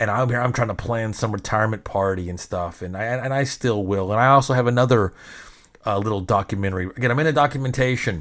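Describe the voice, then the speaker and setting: With an American accent, a man talks in an animated tone at a very fast pace, with ordinary pitch variation. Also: medium pitch for a man. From Arkansas, US South. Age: 40s. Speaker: podcast host and DJ. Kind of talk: casual monologue.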